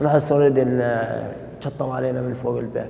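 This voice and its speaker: A man talks at a moderate pace with monotone, flat intonation, over audible room echo and noticeable background noise. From Syria, Raqqa. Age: 20s. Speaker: former prisoner. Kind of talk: testimony. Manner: halting.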